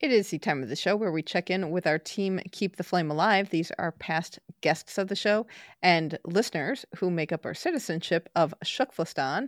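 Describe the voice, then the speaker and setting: With an American accent and an unremarkable speaking voice, a woman talks at a moderate pace in a fairly low pitch with ordinary variation, the recording very clean with a silent background and a dry, close sound with no echo. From United States. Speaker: podcast host. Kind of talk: scripted segment reading; interview.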